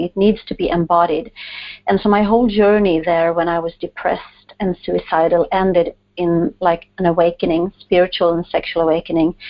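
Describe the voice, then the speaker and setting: Here a woman talks with a Swedish accent. Her intonation is fairly even and her pace moderate. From Sweden. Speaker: author and coach. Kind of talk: interview.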